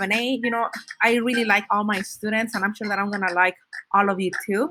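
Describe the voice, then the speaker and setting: Over music in the background, a woman talks very fast at a fairly high pitch with a Spanish accent. Her intonation stays fairly even. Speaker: Spanish teacher. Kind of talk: recorded class syllabus presentation. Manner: casual, with many fillers and restarts.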